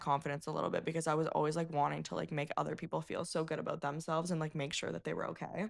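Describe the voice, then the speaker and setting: In a very clean recording with a silent background, a woman speaks with a very deep, low pitch, vocal fry and fairly even intonation. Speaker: podcast guest. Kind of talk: casual chat. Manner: halting.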